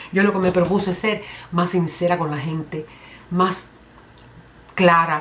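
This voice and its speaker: This is a woman's voice. Her pitch is fairly low. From Cuba. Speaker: comedian. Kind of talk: comedy monologue. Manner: humorous, lively.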